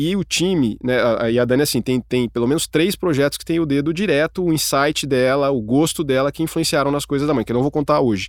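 A man speaks very fast at a fairly high pitch, his voice dry and close with no echo on a very clean recording over a silent background. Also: ordinary pitch variation. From interior of São Paulo state, Brazil. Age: 40s. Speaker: advertising executive. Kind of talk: casual chat.

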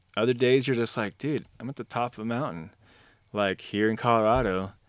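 With an American accent, a man uses a normal speaking voice at medium pitch on a very clean recording with a silent background. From Arizona. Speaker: painter and graphic novel creator. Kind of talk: casual chat.

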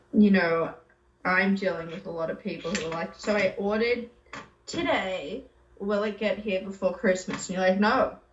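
This woman speaks with an Australian accent. Background noise is noticeable throughout. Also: medium pitch for a woman, ordinary pitch variation, moderate pace. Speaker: podcast co-host. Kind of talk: casual chat. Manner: profane, animated.

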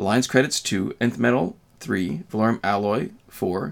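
A man with a Canadian accent, fairly low-pitched, at a moderate pace, with lively intonation and an unremarkable speaking voice. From Canada. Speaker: gaming YouTuber. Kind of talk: casual chat.

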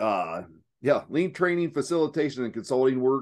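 The speaker has an Appalachian accent and a moderate pace. The background is quiet. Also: man. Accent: Southeast Ohio Appalachian, noticeable. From Southeast Ohio. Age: 40s. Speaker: lean manufacturing consultant. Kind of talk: casual interview chat. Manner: halting, filler-heavy.

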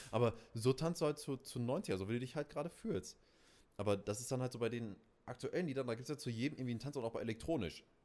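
Very fast speech from a man at medium pitch, dark and mellow in tone, with ordinary pitch variation. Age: 20s. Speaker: podcast co-host, DJ. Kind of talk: casual chat.

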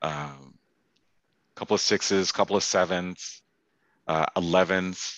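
A man with a Canadian accent speaks in a very deep, low pitch with a bright, sharp tone. His intonation is monotone and flat over a quiet background. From Canada, Toronto. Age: 40s. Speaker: sneaker collector. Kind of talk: casual chat.

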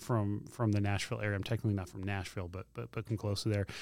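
With a Tennessee accent, a man speaks at a fairly low pitch. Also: very clean recording, silent background. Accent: Southern US (Tennessee). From Middle Tennessee (Spring Hill). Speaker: campus pastor. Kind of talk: casual interview. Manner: halting, many repetitions and fillers.

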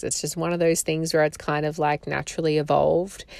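In a strong Australian accent, a woman speaks in a very deep, low pitch with a warm tone and monotone, flat intonation. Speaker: podcast host, photographer and doula. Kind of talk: solo podcast monologue. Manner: warm, conversational.

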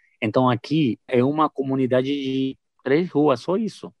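A man with a Spanish-speaking accent, at a fairly slow pace. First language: Spanish (speaking Portuguese). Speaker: missionary. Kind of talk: testimony. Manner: halting.

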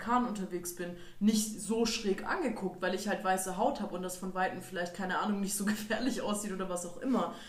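A woman at a fairly quick pace, with audible room echo and noticeable background noise. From Germany. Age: 20s. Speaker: student and activist. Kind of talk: casual chat.

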